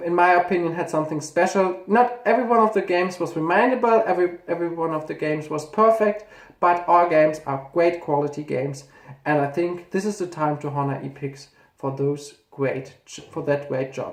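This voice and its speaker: The speaker talks at a fairly quick pace. The voice has a German accent. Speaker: gaming YouTuber. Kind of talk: casual video commentary, ranking games. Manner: halting, with self-corrections.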